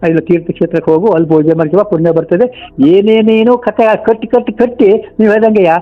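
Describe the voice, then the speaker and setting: Speaking with lively intonation, a man uses a high pitch. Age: 80s+. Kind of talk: phone call conversation.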